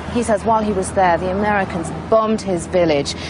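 In a dry sound with no echo but noticeable background noise, a woman speaks in a serious tone at a fairly quick pace with fairly even intonation. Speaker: television reporter. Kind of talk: documentary narration with on-location reporting. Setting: outdoors on location in Kabul. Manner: serious, sombre, measured; urgent, conversational reporting on the spot. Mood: upset, emotional.

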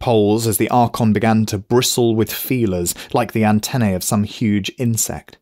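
The text is read out loud in a natural voice.

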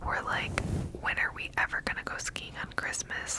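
A woman whispers at a moderate pace. Loud background noise fills the recording. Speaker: ASMR creator. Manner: close-mic ASMR whisper, chatty. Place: home room. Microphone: studio mic.

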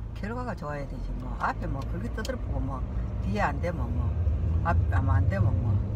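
A woman speaks at a moderate pace. Loud background noise fills the dry recording, which has no echo. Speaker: mother of the vlogger. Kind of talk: casual conversation with son. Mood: opinionated, mildly scolding. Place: car. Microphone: phone near.

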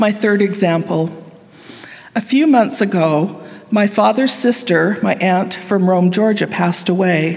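Loudness stays very even throughout. The pace is fairly slow, in a western US accent. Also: woman, ordinary pitch variation. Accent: western American. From Utah, Salt Lake Valley; Utah. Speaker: university professor. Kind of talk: devotional speech. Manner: formal. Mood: earnest, personal storytelling. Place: hall. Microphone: podium.

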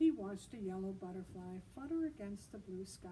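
The speaker reads aloud in a natural voice, the intonation rising and falling in a lively way.

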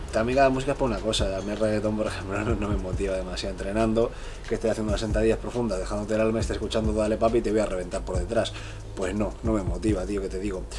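There is noticeable background noise. A man talks over it very fast. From Spain, Bilbao (Basque Country). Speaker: fitness youtuber and professional bodybuilder. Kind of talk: casual Q&A vlog. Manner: casual, filler-heavy (¿vale?, eh). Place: home room. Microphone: camera far.

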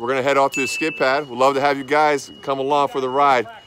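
A man speaks at a very fast pace with fairly even intonation, his voice dry with no echo against noticeable background noise. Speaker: vlogger. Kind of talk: casual vlog chat. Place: open country. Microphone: phone near.

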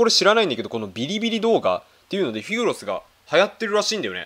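A man talks at a very fast pace. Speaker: YouTuber. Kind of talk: reaction video commentary. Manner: animated.

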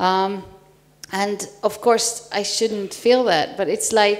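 Speaking at a very slow pace in a Hungarian accent, the voice shows ordinary pitch variation. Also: woman. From Hungary. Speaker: panel moderator, assistant professor. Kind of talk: conference panel moderation. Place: hall. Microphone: handheld.

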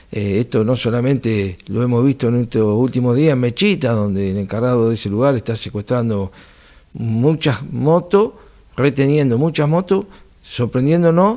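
A dark, mellow tone with lively intonation comes through against a quiet background. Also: man. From Argentina, Buenos Aires province. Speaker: municipal security director. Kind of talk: interview. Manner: formal; halting. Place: studio. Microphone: studio mic.

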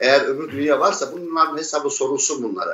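With audible room echo, a man rattles along at a very fast pace in a fairly high voice with fairly even intonation. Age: 50s. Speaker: relative of a disappeared person. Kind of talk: testimony; interview answer. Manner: halting. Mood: grieved, defiant. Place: home room. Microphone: earbuds.

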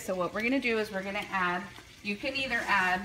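Over light background noise, a woman talks with ordinary pitch variation. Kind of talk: cooking tutorial. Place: kitchen. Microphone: phone near.

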